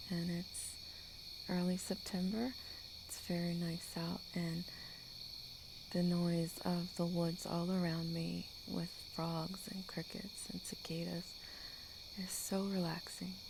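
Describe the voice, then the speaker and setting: Soft-spoken and somewhat breathy, a woman talks in a fairly low, monotone, flat voice. Her pace is very slow, with long, frequent pauses. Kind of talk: ASMR talking to sleep. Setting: outdoors, screened porch with night woodland sounds. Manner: casual, unscripted chatting.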